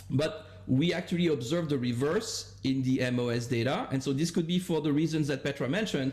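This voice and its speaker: A man with an unremarkable speaking voice talks at a moderate pace. His fairly high voice carries lively intonation. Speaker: economics professor, paper discussant. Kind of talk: academic seminar discussion.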